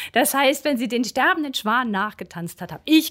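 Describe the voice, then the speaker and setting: A woman's voice with very wide pitch swings at a moderate pace, on a very clean recording against a silent background. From northern Germany, Schleswig-Holstein coast. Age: 50s. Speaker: local politician, former dancer. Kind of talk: interview.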